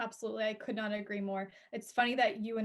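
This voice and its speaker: A woman with a normal speaking voice talks at a fairly quick pace, her fairly high pitch held in fairly even intonation. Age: 20s. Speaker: guest, yoga teacher and speaking coach. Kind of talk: casual chat.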